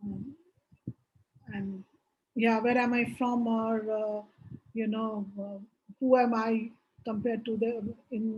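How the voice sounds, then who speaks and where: With a Bengali accent, a woman speaks very slowly with long, frequent pauses, her fairly high, somewhat breathy voice monotone and flat. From India, Bihar. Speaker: business executive, board advisor. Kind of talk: interview. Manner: hesitant, many fillers.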